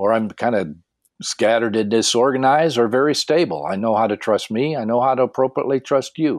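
With a normal speaking voice, a man speaks fairly quickly at a medium pitch with ordinary pitch variation, the sound dry and close with no echo and the background quiet. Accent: American. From Tennessee, Michigan and northern Ontario. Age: 60s. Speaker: pastor and life coach. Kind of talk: interview.

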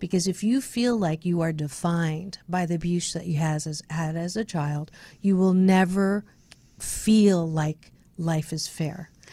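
At a fairly slow pace, a woman with an American accent speaks with a fairly low pitch, a dark, mellow tone and a somewhat breathy voice, in a very clean recording with a silent background. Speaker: radio host and speaker. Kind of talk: casual radio interview. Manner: upbeat, positive.

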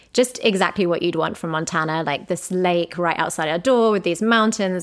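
A woman with a British accent, medium in pitch, lively in intonation and fairly quick in pace, on a very clean recording with a silent background. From Britain. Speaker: travel journalist and podcast host. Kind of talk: casual interview chat.

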